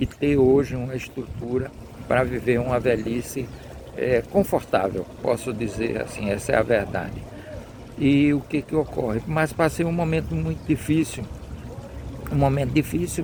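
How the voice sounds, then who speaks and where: A man with a medium pitch talks at a moderate pace, using lively intonation and long, frequent pauses. There is noticeable background noise. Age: 70s. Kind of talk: devotional talk.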